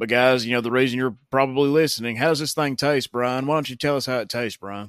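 A man speaks in a Southern US accent at a medium pitch with fairly even intonation. The recording is very clean, with a silent background. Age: 30s. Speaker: beer review podcast host. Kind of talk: casual review monologue. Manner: hesitant with fillers.

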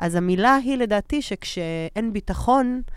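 A woman with a medium-pitched voice speaks very slowly and with lively intonation, on a very clean recording with a silent background. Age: 30s. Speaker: podcast co-host and actress. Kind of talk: casual chat.

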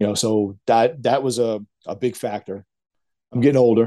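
A man speaks at medium pitch and a moderate pace, with a dark, mellow tone and fairly even intonation.

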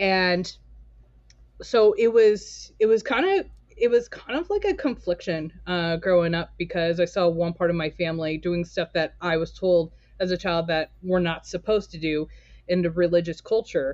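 A woman with an American accent and a normal speaking voice talks at a moderate pace with ordinary pitch variation. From Southern California, Torrance. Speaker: coffee roaster and business owner. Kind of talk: casual interview.

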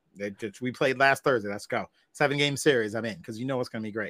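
This man's delivery is very fast, his intonation fairly even. Background silence and a very clean recording surround him. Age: 40s. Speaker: podcast host, wrestling fan guest. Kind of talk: casual chat.

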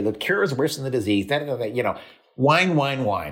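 Here a man at medium pitch speaks with lively intonation. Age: 70s. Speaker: science and health journalist. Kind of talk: interview. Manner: calm, reassuring delivery; opinionated, prone to rants.

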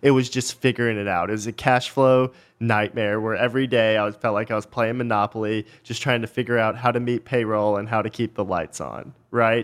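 In a very clean recording with a silent background, a man with an American accent uses a normal speaking voice at medium pitch, talking at a fairly quick pace with fairly even intonation and hardly any pauses. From Texas, small town north of Dallas. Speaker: company founder and CEO. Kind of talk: interview.

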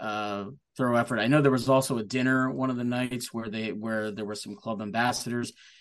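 In an unremarkable speaking voice, a man with an American accent talks fairly quickly at a medium pitch with fairly even intonation. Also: big swings in loudness. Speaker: football supporters club member. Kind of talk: casual chat.

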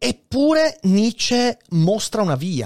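An animated man with very wide pitch swings, recorded dry and close with no echo. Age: 30s. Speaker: philosophy podcaster and streamer. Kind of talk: live-stream philosophy talk. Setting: live stream on Twitch.

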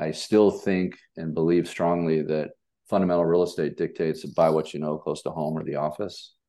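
A man with an American accent talks at a moderate pace in a very deep, low pitch. His tone is dark and mellow, and his intonation is monotone and flat. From Los Angeles, US West Coast. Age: 60s. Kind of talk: interview.

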